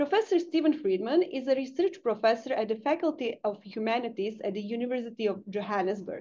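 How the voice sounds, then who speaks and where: With a dark, mellow tone and a high pitch, a woman speaks at a fairly quick pace with lively intonation. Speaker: seminar moderator. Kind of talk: formal introduction. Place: home room. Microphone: webcam.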